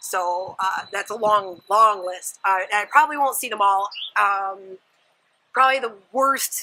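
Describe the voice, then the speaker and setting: The woman's voice has a bright, sharp tone and a medium pitch, and she speaks at a fairly slow pace. The recording is very clean with a silent background. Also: ordinary pitch variation. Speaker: vlogger. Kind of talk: casual vlog. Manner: animated.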